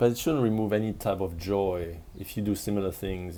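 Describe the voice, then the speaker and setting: Speaking at a moderate pace, a man with a fairly low pitch and a dark, mellow tone keeps his intonation fairly even. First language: not English. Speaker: spiritual coach. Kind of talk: casual monologue vlog. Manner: halting with frequent restarts.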